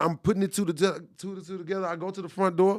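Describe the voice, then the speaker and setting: A man talks at a very fast pace in an animated tone. His pitch sits high. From Texas, Dallas. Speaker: podcast producer and engineer. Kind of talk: casual interview testimony.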